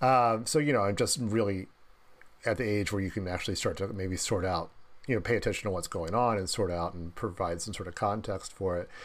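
A man with a Midwestern American accent, fairly low in pitch and fairly quick, with ordinary pitch variation. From US Midwest (Dayton, Ohio). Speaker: film critic and author. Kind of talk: casual interview. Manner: halting, many fillers and repetitions.

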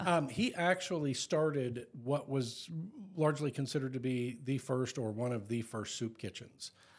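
A man talks at a moderate pace and a medium pitch. He has a plain, everyday voice with ordinary pitch variation. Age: 50s. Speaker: podcast co-host. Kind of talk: casual chat.

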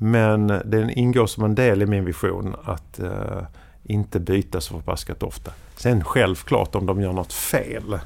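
Speaking at a fairly slow pace, a man uses a fairly low-pitched voice. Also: ordinary pitch variation. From Sweden, southern Skåne. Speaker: media executive and podcaster. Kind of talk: casual interview. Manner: halting.

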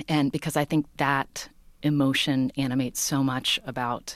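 A woman with an American accent and a very deep, low pitch, at a moderate pace, on a very clean recording with a silent background. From West Virginia, US. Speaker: podcast host and journalist. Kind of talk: interview conversation.

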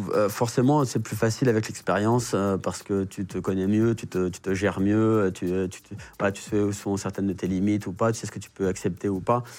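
Fairly quick and fairly low in pitch, a man talks with an ordinary speaking voice and fairly even intonation. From Paris, 19th arrondissement. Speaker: reality TV contestant and driver. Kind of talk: casual interview.

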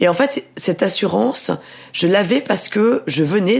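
A woman speaks at a moderate pace in a medium pitch, with lively intonation and vocal fry. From southern France, Mediterranean island (Var). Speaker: novelist and journalist. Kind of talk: interview.

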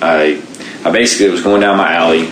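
A man with an American accent speaks at a very deep, low pitch and with fairly even intonation. Room echo is audible, and background noise is noticeable. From Baltimore, Maryland. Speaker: Paralympic sprinter and military veteran. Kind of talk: interview, personal story.

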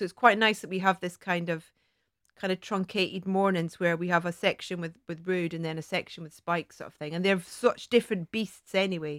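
A woman with a Scottish accent, recorded dry and close with no echo. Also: very clean recording, silent background. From Scotland. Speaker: TV presenter. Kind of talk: casual chat.

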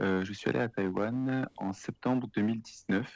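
A man speaks with ordinary pitch variation against a quiet background. The sound is dry and close, with no echo. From France, Lyon region. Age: 30s. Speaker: freelance content writer living abroad. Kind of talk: interview conversation. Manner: hesitant, many fillers.

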